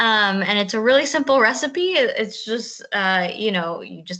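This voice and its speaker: Her tone bright and sharp, a woman speaks at a moderate pace with lively intonation. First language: Spanish (bilingual). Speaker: school garden and food teacher. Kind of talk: virtual presentation. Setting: video call.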